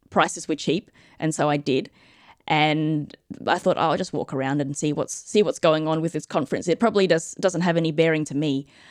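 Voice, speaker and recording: Against a quiet background, a woman with an Australian accent speaks fairly quickly in a very deep, low voice. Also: ordinary pitch variation. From Australia, Adelaide. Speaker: physician and space medicine researcher. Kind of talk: interview with live audience questions.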